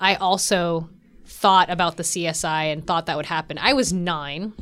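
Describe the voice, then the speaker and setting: An unremarkable speaking voice carries an American accent. The recording is very clean, with a silent background. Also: woman. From US Pacific Northwest, Washington State. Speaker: astrophysicist and science podcast host. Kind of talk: casual chat. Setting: studio.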